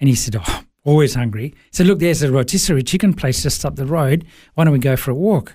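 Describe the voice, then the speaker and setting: Talking at a very fast pace, a man with a fairly high pitch has a dark, mellow tone, a somewhat breathy quality and ordinary pitch variation. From Sri Lanka, raised in Melbourne, Australia from age 8. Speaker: business coach and former worship pastor. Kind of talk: interview, personal testimony. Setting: studio.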